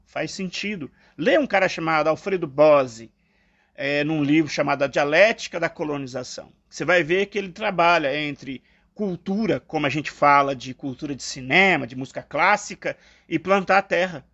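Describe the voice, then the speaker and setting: An unremarkable speaking voice from a man, fairly high in pitch, at a moderate pace with lively intonation. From Brazil, eastern Minas Gerais. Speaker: philosophy podcast co-host. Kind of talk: casual reflective conversation.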